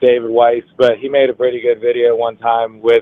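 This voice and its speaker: A man speaks at a medium pitch in a dark, mellow tone. His intonation is monotone and flat, and the sound is dry and close with no echo. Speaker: caller. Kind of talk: casual chat. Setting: phone call.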